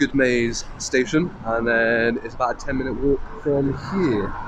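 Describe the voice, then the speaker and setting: Through noticeable background noise, a man speaks at a fairly slow pace with a medium pitch and ordinary pitch variation. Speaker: YouTube police auditor. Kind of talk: vlog narration to camera. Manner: loud.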